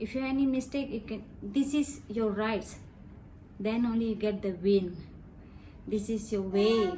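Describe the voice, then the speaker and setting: Speaking with a Tamil accent, a woman uses a fairly high pitch and a fairly slow pace. She leaves long, frequent pauses, and her pitch varies in an ordinary way. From Malaysia. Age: 40s. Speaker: interviewee, released prisoner. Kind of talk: interview testimony.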